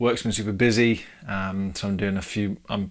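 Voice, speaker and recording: A quiet, fairly low male voice with an English accent, moderate pace and fairly even intonation, on a very clean recording with a silent background. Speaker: podcast host, new father. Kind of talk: solo podcast monologue. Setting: home, baby's changing room, no studio. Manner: casual, hesitant with fillers.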